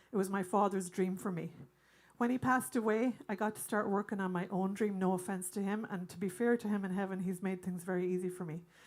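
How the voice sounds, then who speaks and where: Talking very fast, a woman speaks with an Irish accent. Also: medium pitch for a woman, fairly even intonation. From Ireland. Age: 60s. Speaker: singer and bandleader. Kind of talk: stage banter to audience. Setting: stage with audience.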